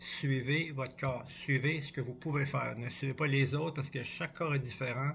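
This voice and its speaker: Hardly pausing at all, a man delivers his words in a monotone, flat intonation at a fairly high pitch. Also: moderate pace. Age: 60s. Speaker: cross-country ski coach. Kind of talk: vlog tutorial. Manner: halting, repetitive.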